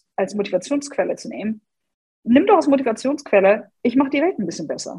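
A woman speaks with a slight English accent. Her pitch swings very widely. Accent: slight English tinge in German. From Germany, Hannover. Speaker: personal branding coach. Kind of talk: podcast interview.

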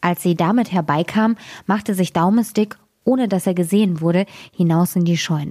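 Against a quiet background, pitch moves in an ordinary way through a natural reading voice.

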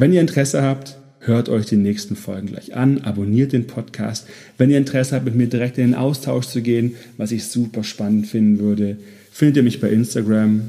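Delivered with ordinary pitch variation, the speech carries a dark, mellow tone and moves at a moderate pace. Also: man. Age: 30s. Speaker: podcast host, burnout prevention coach. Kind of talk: solo podcast introduction monologue.

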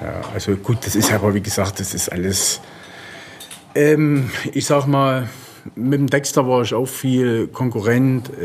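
A man speaks at a fairly slow pace with long, frequent pauses. Audible room echo and noticeable background noise fill the recording. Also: medium pitch for a man, ordinary pitch variation. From eastern Germany. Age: 40s. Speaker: professional bodybuilder. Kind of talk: interview. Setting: gym.

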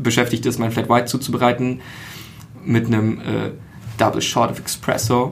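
Speaking at a moderate pace with fairly even intonation, a man with a medium-pitched voice leaves long, frequent pauses, while room echo and noticeable background noise are audible. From Berlin. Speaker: podcaster. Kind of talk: casual chat.

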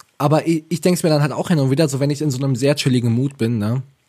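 At a very fast pace, the voice sounds somewhat breathy with a dark, mellow tone. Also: man. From Ravensburg, Swabia (southern Germany). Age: 20s. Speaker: podcast co-host. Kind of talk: casual chat.

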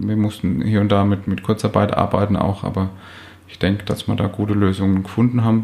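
A man's fairly low voice, dark and mellow, monotone and flat, at a fairly quick pace. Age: 30s. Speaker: physiotherapist and practice owner. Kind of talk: interview. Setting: office.

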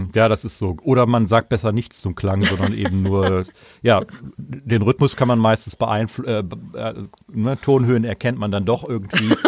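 Speaking at a moderate pace, a man has a fairly low pitch with vocal fry. His pitch variation is ordinary. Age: 50s. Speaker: saxophonist and music school director. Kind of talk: interview.

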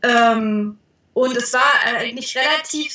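A woman with a slight Thuringian accent speaks at a fairly high pitch with ordinary pitch variation. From Thuringia, rural village. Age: 20s. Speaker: parenting blogger. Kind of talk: interview.

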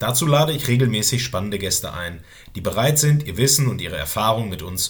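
A man speaks at a very fast pace and medium pitch, with vocal fry. His pitch swings very widely, and the room echo is audible. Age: 30s. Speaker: podcast host, military police instructor. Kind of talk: scripted podcast trailer.

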